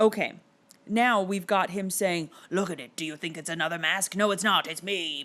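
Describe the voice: Simple, plain reading aloud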